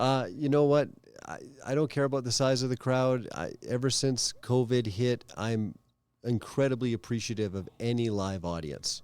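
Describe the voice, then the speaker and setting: A man with a Canadian accent speaks at a moderate pace in a normal speaking voice, with ordinary pitch variation. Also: medium pitch for a man. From Calgary, Canada. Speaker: stand-up comedian. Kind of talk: interview answer.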